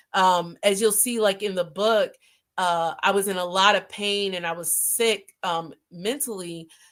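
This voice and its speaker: On a very clean recording with a silent background, a woman speaks at medium pitch and a fairly slow pace with fairly even intonation. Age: 40s. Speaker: talk show host and author. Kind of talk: live stream talk. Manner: halting, many fillers.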